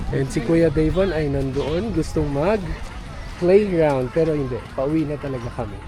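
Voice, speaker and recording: A man at a moderate pace with ordinary pitch variation, music in the background and audible room echo. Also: fairly high pitch for a man. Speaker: family vlogger. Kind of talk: casual vlog chat. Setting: outdoors at a lake.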